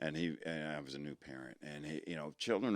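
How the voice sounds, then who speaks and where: With an American accent, a man speaks at a very fast pace. His pitch is very deep and low, and his voice has vocal fry. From Richmond, Virginia. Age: 60s. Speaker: military veteran and fitness enthusiast. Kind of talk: casual podcast interview. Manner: halting, repetitive.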